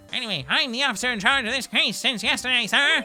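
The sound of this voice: A put-on character voice rattles along at a very fast pace with a fairly high pitch. Clear music plays in the background.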